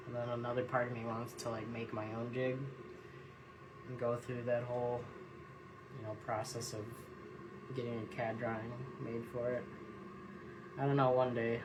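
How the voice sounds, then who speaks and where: A man's medium-pitched, monotone, flat delivery at a moderate pace, broken by long, frequent pauses, with noticeable background noise and audible room echo. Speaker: jig tier and tackle maker. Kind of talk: casual live-stream tutorial. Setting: Instagram live stream at tying bench. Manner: casual, meandering.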